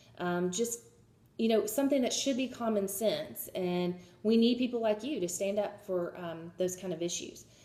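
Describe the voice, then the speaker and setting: A woman's dark, mellow voice at medium pitch, with ordinary pitch variation and a moderate pace. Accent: Southern US. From US South, Georgia. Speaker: job applicant, history student. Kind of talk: video job pitch. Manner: hesitant, many fillers.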